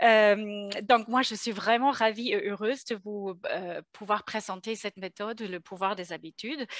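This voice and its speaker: A woman speaks at a fairly slow pace with hardly any pauses and fairly even intonation, in a slight German accent. The sound is dry and close, with no echo. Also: fairly high pitch for a woman. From Germany. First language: German (speaking French). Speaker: consulting firm co-founder. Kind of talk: webinar presentation. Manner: hesitant, many fillers.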